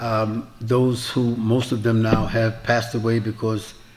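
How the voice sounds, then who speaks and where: With an American accent, a man talks at a moderate pace and medium pitch. His intonation is monotone and flat, with audible room echo. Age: 70s. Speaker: Islamic preacher. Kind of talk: lecture with Q&A. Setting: mosque with audience.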